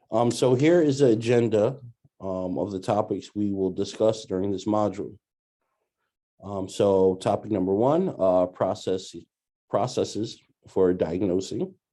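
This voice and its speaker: Over a quiet background, a man with a New York accent talks at a fairly slow pace in a dark, mellow tone and fairly low pitch. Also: ordinary pitch variation. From New York City (Brooklyn). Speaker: doctoral student presenting a training module. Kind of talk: recorded training presentation. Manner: hesitant, many filler words.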